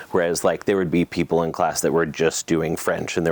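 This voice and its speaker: With an American accent, a man speaks in a very deep, low pitch, the sound dry and close with no echo. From Boston, Massachusetts. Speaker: wine business owner. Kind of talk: oral history interview. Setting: in person at a wine business. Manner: hesitant, many fillers and restarts.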